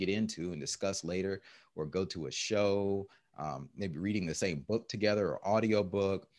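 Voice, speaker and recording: A man's ordinary speaking voice, fairly low in pitch, with ordinary pitch variation, a moderate pace and a quiet background. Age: 40s. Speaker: entrepreneur and fitness coach. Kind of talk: casual chat. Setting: call.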